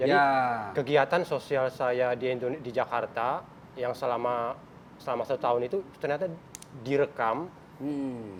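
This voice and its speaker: The man has an unremarkable speaking voice. His pitch is medium. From Central Aceh, Indonesia. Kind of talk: talk show guest interview.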